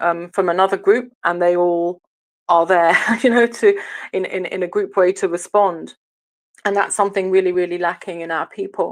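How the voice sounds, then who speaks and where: In an English accent, a woman speaks at a medium pitch and a moderate pace, her intonation monotone and flat. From England. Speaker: online audio room host. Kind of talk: political discussion. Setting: online audio room. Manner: hesitant, many fillers.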